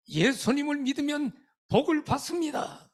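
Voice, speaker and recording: The man speaks at a fairly slow pace. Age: 70s. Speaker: retired pastor, revival guest preacher. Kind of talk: sermon. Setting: church revival meeting with congregation. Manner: animated, interacts with audience.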